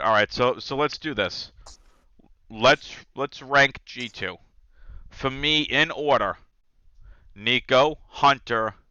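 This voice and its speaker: Long, frequent pauses break up delivery that is very slow. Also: man. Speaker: podcast host. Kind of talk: casual chat. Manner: stammering.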